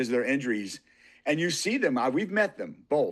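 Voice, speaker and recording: An unremarkable speaking voice from a man, fairly high in pitch, with lively intonation over a quiet background. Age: 60s. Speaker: martial artist and motorcycle rider. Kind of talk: casual chat.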